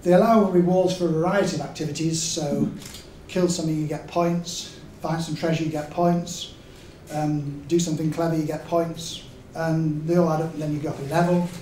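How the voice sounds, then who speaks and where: With a Yorkshire accent, a man speaks at a high pitch with fairly even intonation, amid noticeable background noise and audible room echo. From Yorkshire, England. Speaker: game designer. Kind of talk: lecture. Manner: hesitant, with many fillers.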